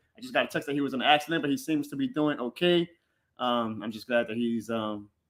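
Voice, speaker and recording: A man in a New Orleans accent, medium in pitch, at a very fast pace. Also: ordinary pitch variation. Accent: New Orleans accent, milder than a Cajun one. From New Orleans East, Louisiana. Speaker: sports podcaster. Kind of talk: live stream chat. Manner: casual.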